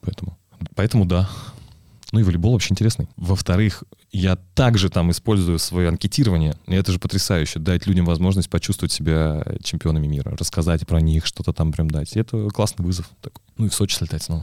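Talking at a very fast pace, a man has a very deep, low voice with a dark, mellow tone. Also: ordinary pitch variation. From Russia, Penza. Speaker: sports commentator and event host. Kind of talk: casual chat. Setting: studio.

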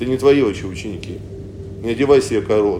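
Through noticeable background noise and audible room echo, a man speaks with ordinary pitch variation. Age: 40s. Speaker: pastor. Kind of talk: sermon. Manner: halting.

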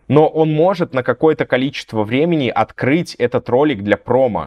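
A man with an ordinary speaking voice delivers his words at a moderate pace, his intonation lively. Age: 30s. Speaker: blogger and content agency owner. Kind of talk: casual interview.

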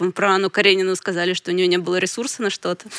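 A woman's medium-pitched voice with fairly even intonation, an ordinary speaking voice, recorded very clean with a silent background and a dry, close sound without echo. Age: 30s. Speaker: book publisher. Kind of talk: casual chat.

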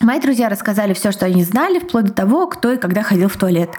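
Speech comes at a very fast pace with lively intonation. Noticeable background noise runs underneath. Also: woman. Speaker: podcast co-host. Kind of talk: casual chat and reading listener stories aloud. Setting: home recording.

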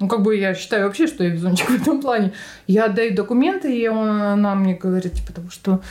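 The speech rushes along at a very fast pace, its pitch varying in an ordinary way. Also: woman, medium pitch for a woman. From Altai Krai, Russia (Barnaul). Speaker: retail worker. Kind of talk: casual interview.

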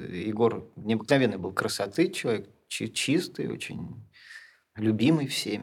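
A man talks in an unremarkable speaking voice, pitched fairly low. His intonation is lively. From Russia, St Petersburg. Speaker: film director and poet. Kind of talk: interview.

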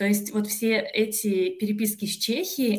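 Fairly even intonation from a woman at a mid-range pitch. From Russia, Kostroma. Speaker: PhD student in philology. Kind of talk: podcast interview. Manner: hesitant, frequent filler sounds.

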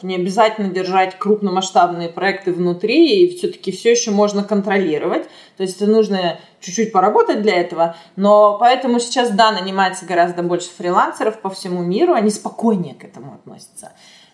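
A woman with a normal speaking voice and a medium pitch talks at a moderate pace with lively intonation and big swings in loudness. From Russia (Chelyabinsk), later Israel. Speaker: animation art director. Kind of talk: interview.

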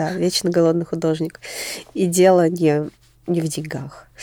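Dry, close sound with no echo carries a woman's fairly low, monotone voice with flat intonation at a moderate pace. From Moscow, Russia. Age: 20s. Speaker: fashion designer and stylist. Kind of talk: casual interview chat.

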